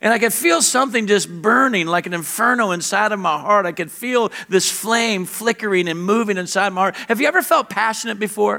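A man with a high-pitched, raised, projected voice talks at a fairly quick pace with ordinary pitch variation against noticeable background noise. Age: 50s. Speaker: pastor. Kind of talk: sermon.

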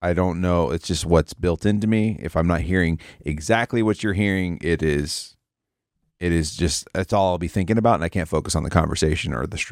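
The recording is very clean, with a silent background and a dry, close sound without echo. A man speaks with a very deep, low pitch and ordinary pitch variation. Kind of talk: casual chat.

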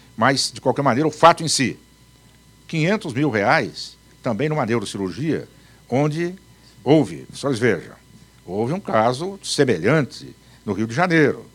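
Pausing long and often, a man speaks at a fairly slow pace with very wide pitch swings and vocal fry. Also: medium pitch for a man, big swings in loudness. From Paraná, Brazil. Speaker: law professor and retired judge. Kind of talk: live talk to an audience. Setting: live event with audience.

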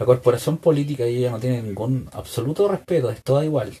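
This man has a medium-pitched, dark, mellow voice that is somewhat breathy. He talks at a fairly quick pace with ordinary pitch variation. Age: 30s. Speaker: political podcaster. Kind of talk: political commentary monologue. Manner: halting, frequent repetitions.

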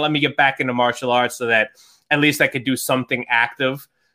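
A man with a medium pitch speaks in a New York accent. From New York, Long Island. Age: 30s. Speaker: fantasy football writer and podcaster. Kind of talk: casual interview chat.

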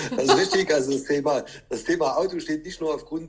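Noticeable noise fills the background. Over it, a man speaks very quickly. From Saxony, Chemnitz. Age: 40s. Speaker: car dealership owner. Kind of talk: interview.

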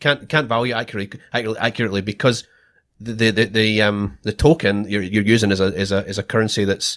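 A man with a Scottish accent, fairly low-pitched, with fairly even intonation and a very fast pace, on a very clean recording against a silent background. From Scotland. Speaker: Bitcoin podcast host, former government procurement contractor. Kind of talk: casual chat.

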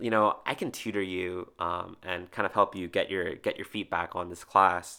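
A man speaks with an American accent at a moderate pace, his tone bright and sharp and his intonation fairly even. The recording is very clean, with a silent background. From New Jersey. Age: 20s. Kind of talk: casual chat.

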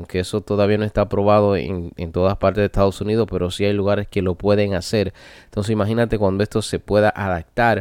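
In a very clean recording with a silent background and a dry, close sound with no echo, a man speaks at a fairly low pitch with monotone, flat intonation. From Dominican Republic, rural area. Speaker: podcast host. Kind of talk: solo monologue podcast. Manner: halting, many fillers.

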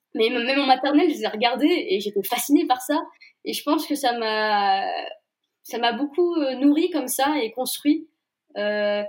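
A woman with a high pitch speaks at a fairly slow pace. Her intonation is lively, broken by long, frequent pauses. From Brittany, Saint-Malo. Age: young. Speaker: novelist. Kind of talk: interview. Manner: hesitant.

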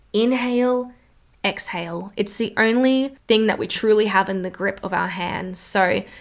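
With an Australian accent, a woman talks in an animated tone. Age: 20s. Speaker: wellness podcast host. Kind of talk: solo podcast monologue.

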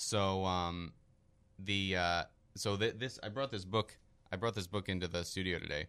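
A man with an American accent, very deep and low in pitch with a bright, sharp tone, fairly even intonation, a moderate pace and long, frequent pauses, on a very clean recording with a silent background. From Philadelphia, US. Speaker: economics student. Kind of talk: interview. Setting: studio. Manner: hesitant, many fillers.

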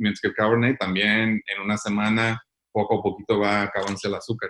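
A man speaks at a medium pitch in a bright, sharp tone. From US, Sacramento, California. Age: 50s. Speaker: winemaker. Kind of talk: interview. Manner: halting.

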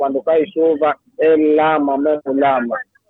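Background music plays. Over it, a man talks with a fairly high pitch. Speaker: caller. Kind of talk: phone call.

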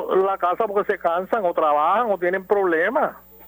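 Over music in the background, a man talks at a fairly quick pace in a high pitch. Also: dry, close sound with no echo. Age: 60s. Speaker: caller. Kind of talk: radio call-in.

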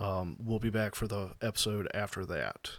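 In a very clean recording with a silent background, a man with a Southern US accent speaks at a fairly low pitch. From US South, South Carolina. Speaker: RC hobby podcast co-host. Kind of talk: casual chat.

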